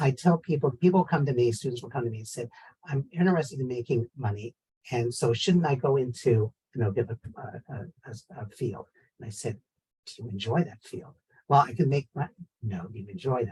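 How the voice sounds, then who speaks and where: A man with an American accent, medium pitch, a dark, mellow tone and a somewhat breathy voice; lively intonation, big swings in loudness, a fairly quick pace with long, frequent pauses, and a dry, close sound with no echo. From San Francisco, US. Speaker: professor. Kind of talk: panel discussion.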